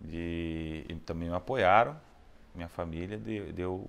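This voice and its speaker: On a very clean recording with a silent background, a man speaks in a Rio de Janeiro accent. His pitch is very deep and low, with ordinary variation. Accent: Rio de Janeiro Brazilian Portuguese. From Rio de Janeiro, Brazil. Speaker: opera baritone singer. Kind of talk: interview answer.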